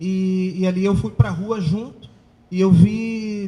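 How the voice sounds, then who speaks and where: A man's high-pitched voice has a dark, mellow tone and ordinary pitch variation. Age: 30s. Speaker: youth political movement leader. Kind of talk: panel talk.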